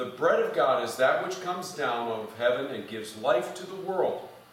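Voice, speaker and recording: A man talks fairly quickly with very wide pitch swings, audible room echo and light background noise. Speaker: pastor. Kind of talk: scripture reading. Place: church. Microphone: podium.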